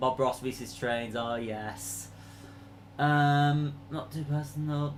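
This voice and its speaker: At a very slow pace, a man with a Leeds accent speaks with ordinary pitch variation amid audible room echo. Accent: Yorkshire (Leeds) English. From northern England, Leeds. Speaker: train enthusiast YouTuber. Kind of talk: live stream Q&A chat. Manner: hesitant, many fillers.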